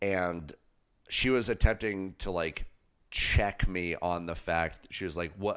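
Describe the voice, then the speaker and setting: Very deep and low, a man's voice moves at a fairly slow pace on a very clean recording with a silent background. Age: 30s. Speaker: podcast co-host. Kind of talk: casual chat.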